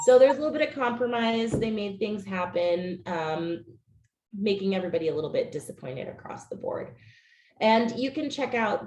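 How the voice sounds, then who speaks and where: With lively intonation and a fairly quick pace, a woman talks in a somewhat breathy voice with a dark, mellow tone. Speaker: policy staffer presenting legislative update. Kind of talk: webinar presentation.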